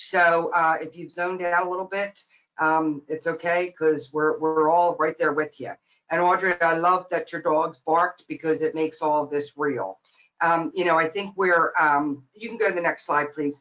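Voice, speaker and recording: Music plays in the background as a woman talks at a moderate pace. Her fairly low voice holds fairly even intonation. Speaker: nonprofit president. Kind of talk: webinar presentation. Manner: many fillers, um and uh.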